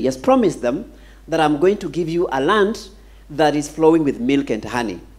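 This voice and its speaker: A man speaks with lively intonation. His pace is moderate. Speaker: pastor. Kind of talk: sermon. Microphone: handheld.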